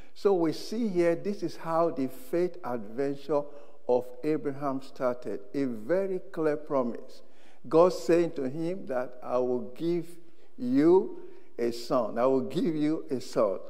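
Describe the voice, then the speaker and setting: Ordinary pitch variation from a man speaking at a very slow pace. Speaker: preacher. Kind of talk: sermon. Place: church. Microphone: lapel.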